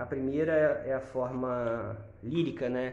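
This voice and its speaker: Speaking very slowly at a medium pitch with ordinary pitch variation, a man is heard with audible room echo and noticeable background noise. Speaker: podcast co-host, insurance broker. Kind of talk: casual chat.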